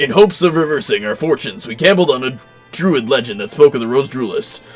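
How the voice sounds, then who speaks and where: A man puts on a character voice at a fairly high pitch and a very fast pace. Faint music plays in the background. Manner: drooling, slobbery speech.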